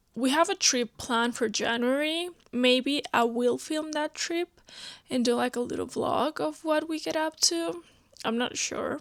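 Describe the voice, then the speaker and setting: A woman with a non-native accent and a high pitch speaks at a fairly slow pace with lively intonation, on a very clean recording with a silent background and a dry, close sound with no echo. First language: not English. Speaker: book vlogger. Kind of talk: casual vlog talk to camera. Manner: conversational, filler-heavy.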